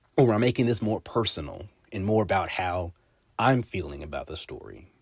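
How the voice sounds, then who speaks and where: Lively intonation and vocal fry from a man at a moderate pace. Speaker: podcast host with broadcast/journalism training. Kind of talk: casual talk to camera, podcast monologue. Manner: conversational, explanatory.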